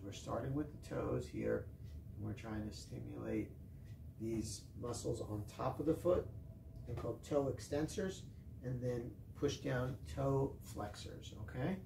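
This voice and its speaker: Fairly slow speech from a man, with noticeable background noise. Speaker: fitness instructor. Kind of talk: tutorial. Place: gym. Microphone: camera far.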